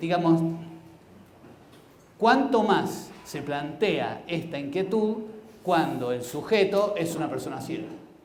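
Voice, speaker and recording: Amid noticeable background noise and audible room echo, a man with high pitch and lively intonation speaks at a very slow pace, with long, frequent pauses. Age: 70s. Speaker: blind mathematics educator, symposium speaker. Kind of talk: conference talk. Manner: hesitant, with fillers.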